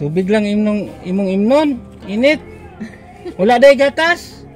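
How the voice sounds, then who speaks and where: The delivery is fairly slow. Background music plays throughout. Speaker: charity vlogger. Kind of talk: casual vlog narration and conversation.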